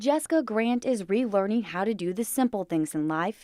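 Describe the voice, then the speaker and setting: An ordinary speaking voice from a woman, fairly high in pitch with lively intonation at a moderate pace, in a dry, close sound with no echo. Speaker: TV news reporter and anchor. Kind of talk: TV news reporter delivery, live stand-ups and packages.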